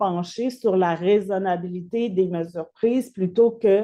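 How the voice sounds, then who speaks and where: A woman speaks slowly-ish, at a fairly slow pace, with medium pitch and fairly even intonation. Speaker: lawyer and legal researcher presenting her thesis. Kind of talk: academic lecture. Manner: halting, many hesitations and repeated words.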